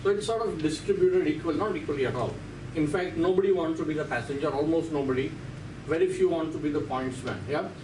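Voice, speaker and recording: A man's fairly high-pitched voice with an Indian accent, a very fast pace and ordinary pitch variation, over noticeable background noise. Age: 60s. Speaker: radiology professor. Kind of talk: lecture. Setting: lecture hall. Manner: animated. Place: classroom.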